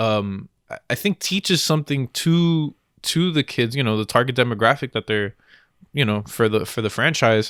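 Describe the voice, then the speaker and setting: A man with a Spanish accent, medium-pitched, lively in intonation, at a moderate pace, on a very clean recording with a silent background and a dry, close sound free of echo. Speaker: podcast co-host. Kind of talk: casual chat. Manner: animated.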